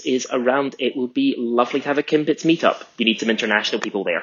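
This man speaks with a Scottish accent. His pitch is medium, with ordinary variation. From Scotland. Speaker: fan of the show. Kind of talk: recorded monologue.

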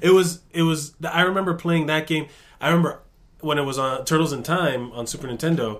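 Fairly high in pitch, a man speaks with a plain, everyday voice. He moves at a fairly quick pace with ordinary pitch variation. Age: 30s. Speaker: podcast co-host. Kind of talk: casual chat.

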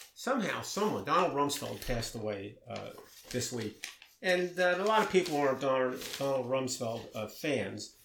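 A man with an American accent at a fairly slow pace, with very wide pitch swings and noticeable background noise. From Maryland, US. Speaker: podcast co-host discussing news. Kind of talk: casual chat.

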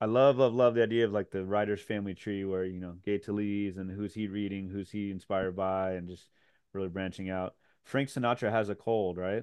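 Here is a man with a plain, everyday voice and an American accent. His pitch is fairly low, his intonation fairly even and his pace fairly quick. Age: 40s. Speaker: podcast host and high school teacher. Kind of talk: interview conversation.

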